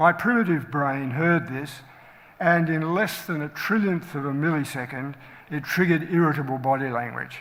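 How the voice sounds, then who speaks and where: At a moderate pace, a man with an Australian accent speaks in a fairly high pitch with ordinary pitch variation. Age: 70s. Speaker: general practitioner and medical educator. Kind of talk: talk to colleagues.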